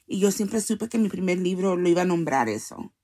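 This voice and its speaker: A woman with a normal speaking voice, medium in pitch, talks with ordinary pitch variation on a very clean recording with a silent background. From US, Salvadoran parents. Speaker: poet and activist. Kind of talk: interview. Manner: code-switching Spanish and English.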